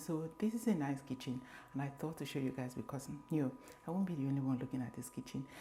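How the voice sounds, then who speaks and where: Music plays in the background as a woman whispers. She speaks at a fairly quick pace. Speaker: lifestyle vlogger. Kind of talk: home tour vlog. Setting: at home in kitchen. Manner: whispering; casual.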